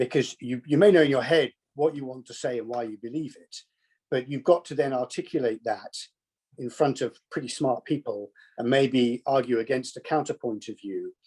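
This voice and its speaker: A man talks at a moderate pace with a southern English accent. His loudness swings widely, and the sound is dry and close with no echo. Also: medium pitch for a man, ordinary pitch variation. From southern England, Kent. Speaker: business executive, alumnus. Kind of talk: conversational interview. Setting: video call.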